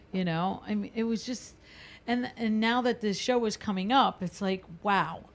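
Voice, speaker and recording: On a very clean recording with a silent background, a woman uses an unremarkable speaking voice, fairly high in pitch, at a moderate pace with ordinary pitch variation. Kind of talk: casual chat.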